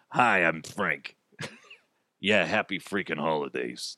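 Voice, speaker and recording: A man does a put-on character voice. It is very deep and low. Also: fairly slow pace. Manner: gruff, sarcastic.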